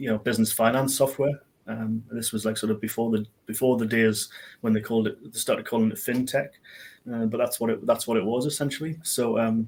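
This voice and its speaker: A man with a Geordie accent talks at a fairly quick pace. His pitch is medium and his intonation fairly even. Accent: Geordie, noticeable. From northern England, Newcastle area. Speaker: IT business owner. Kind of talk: interview on a live business show. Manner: hesitant, many fillers.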